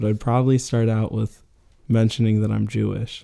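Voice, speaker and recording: Dry and close with no echo, a man's dark, mellow voice sits at medium pitch with an American accent. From Arizona, Phoenix area. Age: 20s. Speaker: college student on a break. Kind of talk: casual interview.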